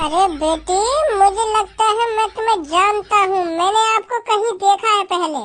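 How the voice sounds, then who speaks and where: Over clear background noise, a woman performs a cartoonish character voice at an extremely high pitch and a fairly slow pace. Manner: smug, teasing.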